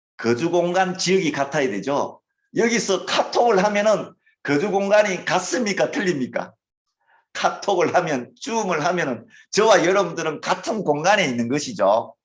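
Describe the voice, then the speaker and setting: Someone with a Gyeongsang accent talks at a moderate pace with lively intonation. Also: man, high pitch for a man. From Gyeongsang Province, Korea. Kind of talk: lecture.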